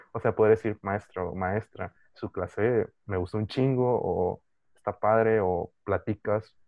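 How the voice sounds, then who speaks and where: This man speaks with a Mexican accent at a fairly low pitch. His intonation stays fairly even. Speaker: podcast co-host. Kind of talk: casual chat.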